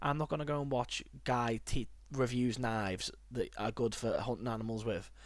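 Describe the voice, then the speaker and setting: With a northern English accent, a man speaks at a moderate pace and medium pitch, keeping very even loudness and fairly even intonation. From northern England. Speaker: podcast host. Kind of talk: casual chat.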